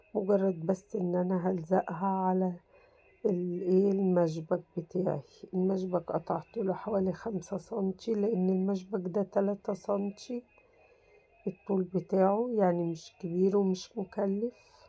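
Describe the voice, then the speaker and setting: The delivery is monotone, with flat intonation and a fairly slow pace. Music plays in the background. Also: woman, medium pitch for a woman. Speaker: crafts YouTuber. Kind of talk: tutorial. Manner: casual, chatty.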